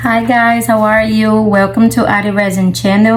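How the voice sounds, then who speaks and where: Speaking at a fairly slow pace with a non-native accent, a woman is heard over background music, with audible room echo in the space. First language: not English. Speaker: resin artist. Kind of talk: tutorial. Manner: casual.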